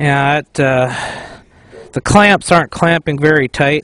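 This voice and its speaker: A man talks at a fairly slow pace with fairly even intonation, the sound dry with no echo. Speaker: homesteader fixing tractor. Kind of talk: casual explanation while working. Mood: relieved, pleased. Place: open country.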